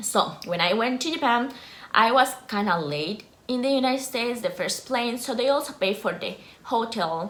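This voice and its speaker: With a Costa Rican accent, a woman talks in a fairly high pitch with lively intonation, with audible room echo and noticeable background noise around her. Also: moderate pace. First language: Spanish. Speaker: YouTuber, former scholarship student. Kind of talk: informational vlog.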